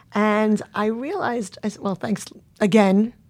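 Against a silent background in a very clean recording, a woman speaks with fairly even intonation. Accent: New York. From Long Island, New York. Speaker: event agency CEO. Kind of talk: interview.

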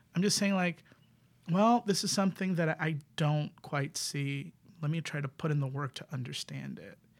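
With an American accent, a man speaks at a fairly high pitch and a moderate pace. He has a normal speaking voice with ordinary pitch variation. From New York City, the Bronx. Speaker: queer improv performer. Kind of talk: casual chat.

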